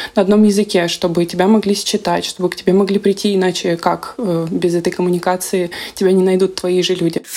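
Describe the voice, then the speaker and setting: A woman with an unremarkable speaking voice keeps a moderate pace and fairly even intonation. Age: 20s. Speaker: podcast host, psychologist. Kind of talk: casual chat. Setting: video call.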